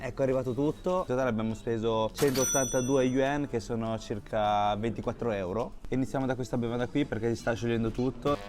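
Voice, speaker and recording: A man speaks at a medium pitch and a fairly quick pace with hardly any pauses. His loudness stays very even over noticeable background noise. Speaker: travel and food vlogger. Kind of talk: food review vlog. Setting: in a fast food restaurant. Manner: animated.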